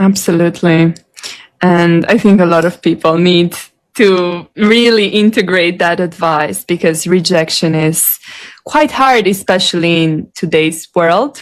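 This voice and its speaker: A woman with an American accent and a plain, everyday voice speaks at a fairly slow pace, her pitch fairly low, with ordinary pitch variation and very even loudness. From Ohio. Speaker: interviewer. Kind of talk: interview conversation.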